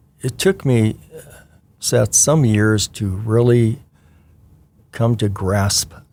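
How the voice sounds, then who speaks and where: A man with an American accent and a fairly low pitch speaks at a very slow pace with fairly even intonation on a very clean recording with a silent background. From Washington State, US Pacific Northwest. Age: 60s. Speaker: retired church member, children's ministry volunteer. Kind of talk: interview. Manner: halting, many fillers.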